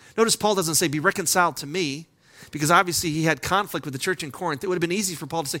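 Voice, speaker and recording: A man's high, bright, sharp voice, very fast and lively in pitch, on a very clean recording with a silent background. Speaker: pastor. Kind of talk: sermon.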